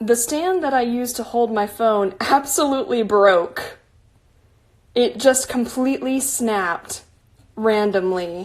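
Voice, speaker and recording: The pace is fairly slow. The intonation is lively. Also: woman, fairly high pitch for a woman. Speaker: artist. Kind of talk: painting livestream. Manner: soft-spoken.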